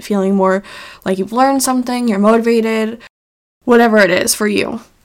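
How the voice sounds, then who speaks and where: A woman speaks in a normal speaking voice. Her pitch is fairly high and her intonation fairly even. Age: 20s. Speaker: podcast host and health coach. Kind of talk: solo podcast monologue. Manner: casual, filler-heavy.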